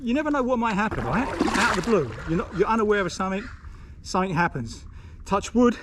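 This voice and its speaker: Amid noticeable background noise, a man with a British accent rattles along at a very fast pace and high pitch with ordinary pitch variation. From Britain. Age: 60s. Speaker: retired vlogger. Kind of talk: casual vlog talk to camera. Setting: outdoors on a river. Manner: relaxed, chatty.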